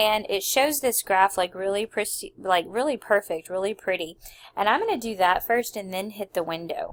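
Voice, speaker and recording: A woman with an unremarkable speaking voice talks at a moderate pace, her medium pitch showing ordinary variation. The recording is very clean with a silent background, dry and close with no echo. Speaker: math teacher. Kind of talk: tutorial. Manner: casual, filler-heavy.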